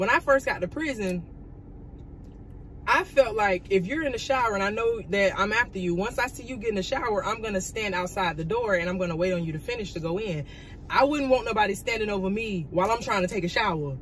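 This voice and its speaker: Light background noise accompanies a woman speaking at a very fast pace with lively intonation. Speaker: vlogger. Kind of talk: casual storytime vlog chat. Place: car. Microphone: phone near.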